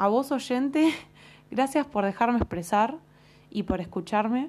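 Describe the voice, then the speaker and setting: The woman's pitch varies in an ordinary way as she talks fairly slowly. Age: 20s. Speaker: psychology student podcaster. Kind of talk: solo educational monologue. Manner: hesitant, many fillers.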